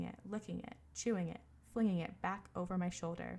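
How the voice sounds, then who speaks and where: The speaker is a soft-spoken woman. Her pace is moderate. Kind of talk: audiobook-style reading of a book excerpt.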